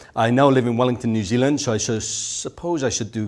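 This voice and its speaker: Speaking at a very fast pace, a man talks with a Welsh accent. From South Wales. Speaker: speaker at a business conference. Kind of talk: conference talk. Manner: rolls his R's when excited.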